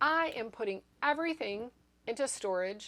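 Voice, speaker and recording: A woman is speaking. Her pitch swings very widely. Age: 60s. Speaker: YouTuber sharing ADHD experiences. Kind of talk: personal vlog monologue. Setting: home apartment recording space. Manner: casual, conversational with fillers.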